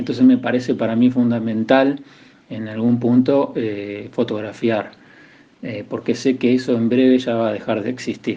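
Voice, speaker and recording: This man speaks at a moderate pace in a medium pitch, his intonation monotone and flat. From Buenos Aires conurbano, Argentina. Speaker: photographer. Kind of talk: recorded interview. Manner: halting, repeats words.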